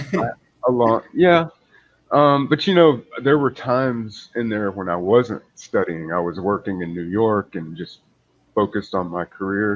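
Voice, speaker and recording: In a normal speaking voice with an American accent, a man speaks at a fairly slow pace and a fairly low pitch with lively intonation. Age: 40s. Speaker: English tutor. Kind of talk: casual chat.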